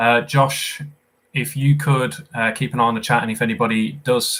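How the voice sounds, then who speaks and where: There is a bright, sharp tone to this man's voice, heard with a British accent. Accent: regional British accent, noticeable. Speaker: quizmaster. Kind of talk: live quiz hosting. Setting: live stream. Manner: casual, chatty with fillers.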